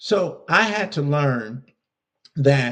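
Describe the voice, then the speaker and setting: This man's voice is fairly high-pitched and somewhat breathy. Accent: American. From US West Coast, Compton, California. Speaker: leadership coach and speaker. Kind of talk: podcast interview.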